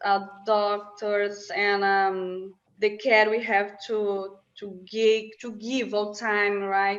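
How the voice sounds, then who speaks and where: With audible room echo, a woman with a non-native accent speaks at a very slow pace, in a monotone with flat intonation and medium pitch. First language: not English. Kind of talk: casual interview chat. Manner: halting.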